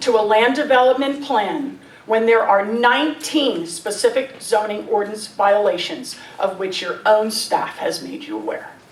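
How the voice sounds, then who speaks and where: A woman's speech carries audible room echo over noticeable background noise. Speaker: resident speaking at public comment. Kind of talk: public comment at council meeting. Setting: council meeting hall. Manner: formal.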